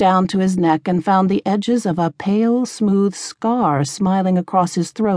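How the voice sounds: Text voiced in a natural reading voice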